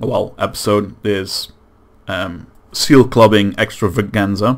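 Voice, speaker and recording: With a Dutch accent, a man at a fairly low pitch speaks at a very slow pace with fairly even intonation. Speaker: gaming YouTuber. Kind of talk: gameplay commentary outro. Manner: halting.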